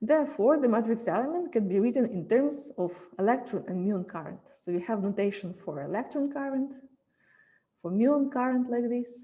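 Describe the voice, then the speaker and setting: With audible room echo, a woman talks at a fairly high pitch in a dark, mellow tone. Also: moderate pace. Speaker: physics lecturer. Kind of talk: lecture.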